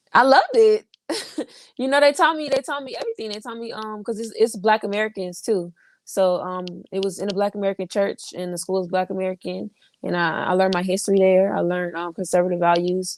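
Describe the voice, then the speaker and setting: A woman's very fast speech with big swings in loudness, dry and close with no echo. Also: medium pitch for a woman, ordinary pitch variation. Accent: Southern. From Florida. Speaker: political commentator. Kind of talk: casual chat.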